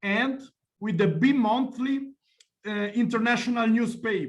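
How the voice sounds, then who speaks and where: A high-pitched man with an Italian accent, in audible room echo. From Italy. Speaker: journalist. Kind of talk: lecture. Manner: halting.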